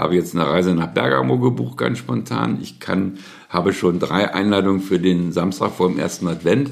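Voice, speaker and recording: A man with a very deep, low pitch and vocal fry talks at a moderate pace, his pitch swinging very widely. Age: 70s. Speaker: family caregiver, recently widowed. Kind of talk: interview testimony.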